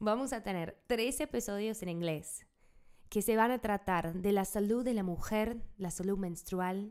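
A woman with an English accent speaks at a very slow pace on a very clean recording with a silent background. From United States. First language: English (speaking Spanish). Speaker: podcast host and health worker. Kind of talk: scripted podcast intro. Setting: home studio.

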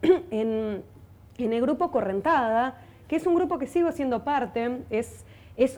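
Speaking at a fairly slow pace, a woman uses a high pitch and lively intonation with a dark, mellow tone. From Buenos Aires, Argentina. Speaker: folk singer and violinist. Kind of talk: interview. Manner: halting, many repetitions.

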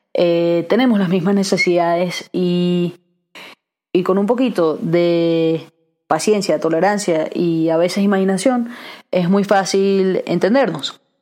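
Speaking at a very slow pace, a woman has a medium pitch, ordinary pitch variation, a dark, mellow tone and very even loudness. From Venezuela, raised in Aberdeen, Scotland from age six. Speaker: podcast host and entrepreneur. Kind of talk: solo podcast monologue. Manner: casual with frequent fillers and restarts.

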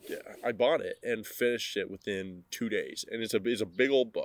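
A man talks with fairly even intonation at medium pitch. He has an ordinary speaking voice. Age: 20s. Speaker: podcast host. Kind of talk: solo casual podcast monologue.

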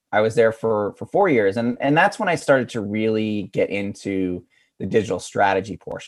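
A man's normal speaking voice, medium in pitch, with an American accent and ordinary pitch variation. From rural Pennsylvania. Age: 40s. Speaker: digital communications director. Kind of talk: interview. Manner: casual, filler-heavy.

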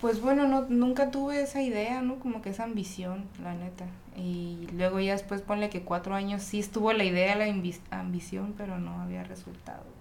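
There is audible room echo and noticeable background noise around a woman of medium pitch. She speaks at a moderate pace with ordinary pitch variation. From Ensenada, Baja California, Mexico. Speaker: rapper. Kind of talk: casual chat.

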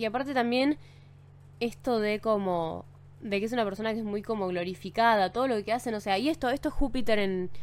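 At a fairly quick pace, a woman speaks in a fairly high pitch with ordinary pitch variation. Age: 20s. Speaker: podcast host. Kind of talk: casual monologue. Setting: home studio. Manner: animated; code-switching Spanish and English.

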